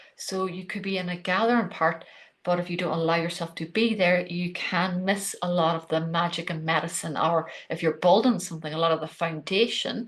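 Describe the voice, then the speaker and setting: Over a quiet background, the speaker talks at a fairly quick pace in an Irish accent, keeping the intonation fairly even. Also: woman, fairly low pitch for a woman. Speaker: podcast host. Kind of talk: solo podcast talk on spirituality.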